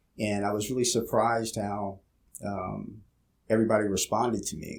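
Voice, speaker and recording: A man's fairly low voice in a Pennsylvania accent, with monotone, flat intonation. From Louisiana, then Philadelphia. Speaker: police officer. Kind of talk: casual interview. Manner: halting, many fillers.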